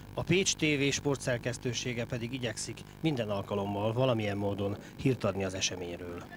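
A man with an ordinary speaking voice speaks at a moderate pace, his fairly low pitch showing ordinary pitch variation. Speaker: TV sports reporter. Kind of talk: news report and interview.

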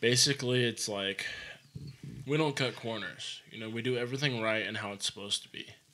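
A man's bright, sharp voice with an American accent, fairly even intonation and big swings in loudness. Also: fairly quick pace. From Arizona, Prescott Valley; Arizona. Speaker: home builder; podcast guest, contractor. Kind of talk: casual chat. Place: studio. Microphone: studio mic.

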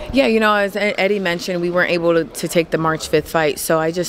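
A woman speaks with ordinary pitch variation over noticeable background noise. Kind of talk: interview answer. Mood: confident, relaxed. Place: hall. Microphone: handheld.

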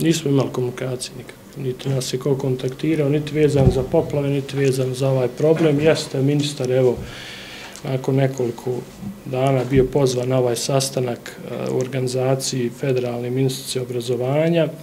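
A man speaks fairly quickly in a flat monotone. Light background noise can be heard. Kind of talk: press conference statement. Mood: serious, somewhat critical. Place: hall. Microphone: podium.

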